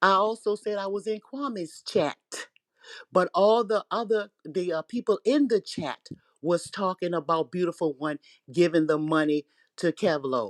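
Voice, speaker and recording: In a very clean recording with a silent background and a dry, close sound with no echo, a woman speaks at a medium pitch and a moderate pace, her tone animated and her intonation lively. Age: 60s. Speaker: online commentator. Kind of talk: casual chat.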